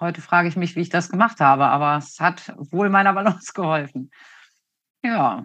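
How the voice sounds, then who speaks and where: A woman speaks in an unremarkable speaking voice with a fairly low pitch. Her pace is moderate, her pitch variation ordinary, and the background quiet. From northern Germany, Hanover area. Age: 50s. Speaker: western riding judge and trainer. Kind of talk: interview. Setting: video call.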